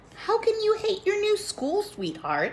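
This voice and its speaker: In a put-on character voice, a woman squeaks at an extremely high pitch with fairly even intonation and a moderate pace, over clear background noise. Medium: read story. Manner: warm, fatherly.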